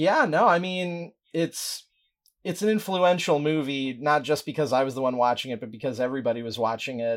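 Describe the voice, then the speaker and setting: With lively intonation and a fairly quick pace, a man uses an ordinary speaking voice pitched fairly high. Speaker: writer and podcaster. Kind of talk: casual chat. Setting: remote call.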